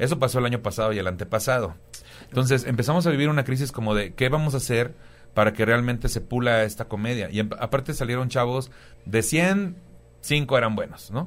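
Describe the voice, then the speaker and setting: The speaker uses a normal speaking voice at a fairly quick pace, with ordinary pitch variation. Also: man, medium pitch for a man. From Tampico, Tamaulipas, Mexico. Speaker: stand-up comedian. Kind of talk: casual chat.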